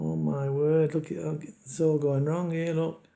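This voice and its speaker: In a British accent, a man talks at a fairly quick pace. His tone is dark and mellow, with fairly high pitch. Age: 60s. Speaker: betting YouTuber. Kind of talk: casual screen-share tutorial. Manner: casual, halting with fillers.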